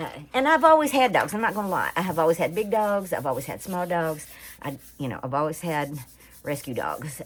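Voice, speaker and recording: A woman with an American accent, her fairly low voice making very wide pitch swings at a fairly quick pace. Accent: Southern rural US (hillbilly). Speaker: crafts YouTuber. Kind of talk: tutorial. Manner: casual, halting with fillers.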